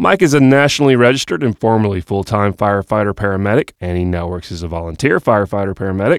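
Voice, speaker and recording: A man with an unremarkable speaking voice and an American accent talks at a fairly quick pace with lively intonation. The recording is very clean with a silent background, and the sound is dry and close with no echo. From US South, Georgia (Austell, South Cobb). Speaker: podcast host and web development company founder. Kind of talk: scripted show intro. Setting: studio.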